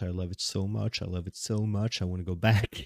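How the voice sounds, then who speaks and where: Dark and mellow in tone, the voice moves at a fairly quick pace with a Swedish accent and fairly even intonation, recorded dry and close with no echo and very clean with a silent background. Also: man. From Sweden. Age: 20s. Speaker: podcaster. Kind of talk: casual monologue. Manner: rambling, hesitant with fillers.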